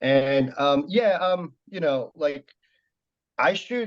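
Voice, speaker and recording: With a Korean accent, a man talks with ordinary rises and falls in pitch. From South Korea. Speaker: competitive shooter and shooting instructor. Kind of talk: podcast interview. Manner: halting, many fillers.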